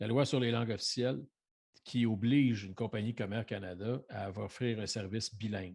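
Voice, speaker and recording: Speaking with a Quebec accent, a man talks at a moderate pace in a fairly low voice. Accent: Québécois French. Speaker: hockey podcast panelist. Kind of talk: casual debate. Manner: animated.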